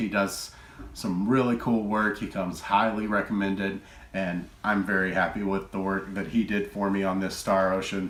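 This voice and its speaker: A man with a Texan accent speaks at a moderate pace. His pitch is fairly low, and his intonation stays fairly even. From Texas. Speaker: retro game collector YouTuber. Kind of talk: casual collection show-and-tell. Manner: relaxed, filler-heavy.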